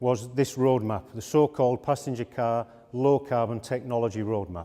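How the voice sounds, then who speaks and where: A man speaks at a medium pitch with a dark, mellow tone. His Yorkshire accent comes with ordinary pitch variation. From Yorkshire, northern England. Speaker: automotive industry executive. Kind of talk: conference talk.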